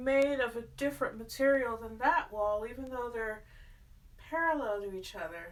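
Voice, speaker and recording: A woman's high-pitched voice with ordinary pitch variation, in audible room echo. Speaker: artist and home decor vlogger. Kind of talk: casual vlog. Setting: at home in apartment. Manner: stutters when nervous.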